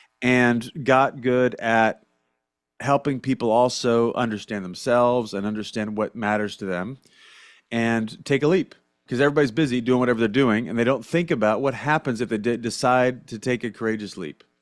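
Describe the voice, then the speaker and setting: On a very clean recording with a silent background, a man with an American accent talks in an ordinary speaking voice at medium pitch, moderate pace and ordinary pitch variation. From US Midwest, Southern Illinois. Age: 40s. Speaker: leadership coach. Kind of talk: podcast interview. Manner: casual, conversational.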